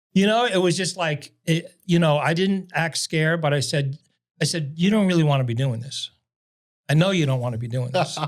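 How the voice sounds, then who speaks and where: A man with a New York accent speaks at a fairly high pitch, with ordinary pitch variation. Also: fairly quick pace. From New York City. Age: 70s. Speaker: salesman. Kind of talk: casual chat.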